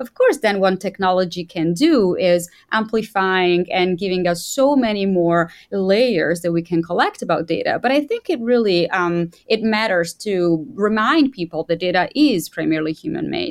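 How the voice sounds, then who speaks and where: Over a very clean recording with a silent background, a woman with an ordinary speaking voice talks at a moderate pace and medium pitch, with lively intonation and hardly any pauses. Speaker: information designer. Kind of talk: casual interview conversation.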